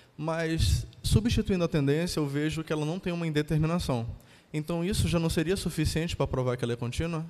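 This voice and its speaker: Talking at a fairly quick pace in an ordinary speaking voice, a man uses a fairly high pitch with ordinary pitch variation. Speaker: engineering student. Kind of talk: classroom question. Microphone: handheld.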